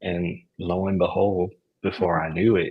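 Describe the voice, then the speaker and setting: With an American accent, a man speaks in a very deep, low pitch, somewhat breathy and with fairly even intonation. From Florida (Orlando). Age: 20s. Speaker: author and youth worker. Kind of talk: interview.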